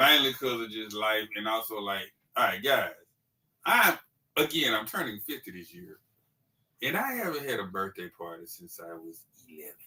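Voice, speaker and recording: A man with a fairly low pitch talks at a moderate pace with lively intonation. His loudness swings widely, broken by long, frequent pauses. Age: 40s. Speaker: toy collector on a livestream panel. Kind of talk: casual chat.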